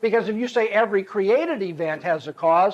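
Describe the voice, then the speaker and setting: This is a man speaking. His voice is high-pitched. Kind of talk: lecture. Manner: fast.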